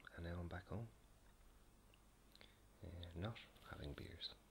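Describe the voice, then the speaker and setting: A soft-spoken, gentle tone at a moderate pace. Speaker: video blogger. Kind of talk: casual late-night talk to camera. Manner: soft-spoken, gentle, quiet.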